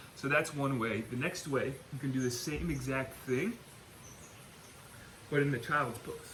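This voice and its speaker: A man's fairly high voice at a fairly slow pace, with long, frequent pauses and ordinary pitch variation, over noticeable background noise. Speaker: back pain and gut health coach. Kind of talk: guided breathing exercise instruction.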